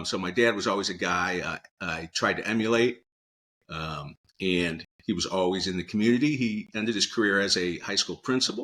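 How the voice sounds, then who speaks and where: In a very clean recording with a silent background, a man talks at a fairly quick pace in a fairly low pitch, his tone bright and sharp with ordinary pitch variation. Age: 60s. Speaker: financial advisor. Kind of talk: interview.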